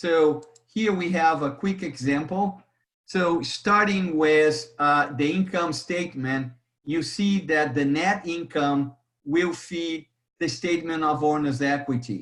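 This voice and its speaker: The speaker has a Brazilian accent and a very slow pace. Pitch variation is ordinary. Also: man, fairly high pitch for a man. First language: Portuguese. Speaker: accounting instructor. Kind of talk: lecture. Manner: halting, with repetitions.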